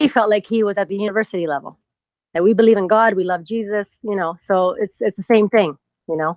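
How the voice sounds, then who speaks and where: Her delivery is fairly quick, with medium pitch and ordinary pitch variation. The woman's voice sounds dry and close, with no echo. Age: 40s. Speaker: caller. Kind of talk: phone-in call. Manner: halting.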